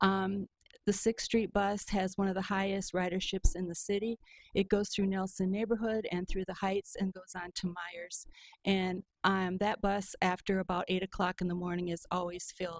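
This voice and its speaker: A woman talks at a moderate pace in a monotone, flat intonation. The sound is dry and close, with no echo. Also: medium pitch for a woman. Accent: Upper Midwest US. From Michigan, Muskegon. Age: 70s. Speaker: public commenter. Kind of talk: public comment at meeting. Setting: county board meeting. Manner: hesitant with frequent ums.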